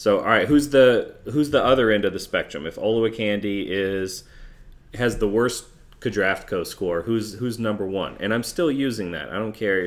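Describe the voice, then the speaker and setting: Speaking with an American accent, a man uses a normal speaking voice at a moderate pace, fairly low in pitch with ordinary pitch variation. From US South. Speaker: sports podcast host. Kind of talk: casual chat.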